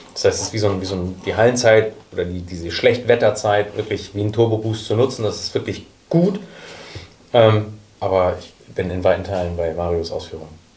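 Fairly low in pitch, this man has a plain, everyday voice and a fairly quick pace. His pitch variation is ordinary, while his loudness swings widely. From Hamburg. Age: 30s. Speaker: youth academy sporting director. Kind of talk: panel discussion.

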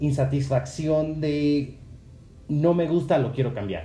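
Audible room echo carries a man's voice. He talks at a fairly slow pace. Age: 20s. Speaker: podcaster. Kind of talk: solo monologue podcast.

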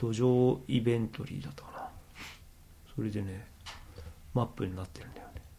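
A man with a medium pitch and a dark, mellow, somewhat breathy tone speaks at a fairly quick pace with ordinary pitch variation. His loudness swings widely, and he takes long, frequent pauses. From Japan, Akita. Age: middle-aged. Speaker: organic farmer and podcaster. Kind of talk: casual chat.

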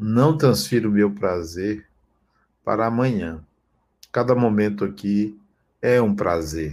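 Talking at a very slow pace with long, frequent pauses, a man uses a fairly low pitch and ordinary pitch variation, and the recording is very clean with a silent background. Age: 60s. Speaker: spiritual teacher. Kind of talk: spiritual talk.

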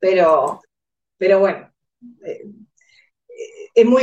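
Ordinary pitch variation marks speech delivered very slowly. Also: woman. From Uruguay. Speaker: insurance agent. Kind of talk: casual interview.

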